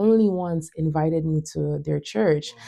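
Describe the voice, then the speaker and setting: Her voice is very deep and low in pitch for a woman, with a dark, mellow tone. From Montreal, Quebec. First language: French. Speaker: tech company founder and worship leader. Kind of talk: podcast interview, faith testimony.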